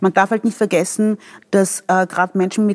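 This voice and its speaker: The woman's voice sits at a medium pitch with monotone, flat intonation. The sound is dry and close, with no echo. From Vienna, Austria. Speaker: doctor and politician. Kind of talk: interview.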